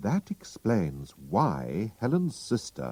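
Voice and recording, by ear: Someone is reading aloud in a natural voice.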